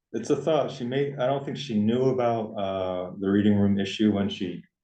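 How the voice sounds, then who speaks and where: This man has a plain, everyday voice at a medium pitch. He talks at a moderate pace with ordinary pitch variation. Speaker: town first selectman chairing board meeting. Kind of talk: town board meeting discussion.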